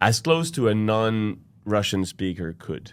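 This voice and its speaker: A man speaks with a Quebec accent. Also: very clean recording, silent background. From Quebec, Montreal. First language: French. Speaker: opera singer. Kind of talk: casual chat. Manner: animated.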